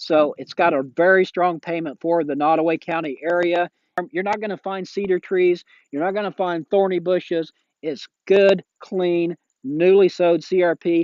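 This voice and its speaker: This man, with an American accent, talks at a moderate pace with a high pitch and fairly even intonation. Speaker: realtor and auctioneer. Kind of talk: real estate listing pitch. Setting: outdoors. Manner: casual, friendly.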